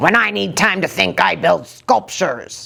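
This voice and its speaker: A put-on character voice moves at a moderate pace through very wide pitch swings. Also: woman, fairly low pitch for a woman. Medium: read story. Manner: strict, firm.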